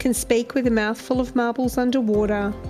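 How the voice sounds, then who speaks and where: A woman's voice with music in the background. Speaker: podcast host. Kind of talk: podcast intro.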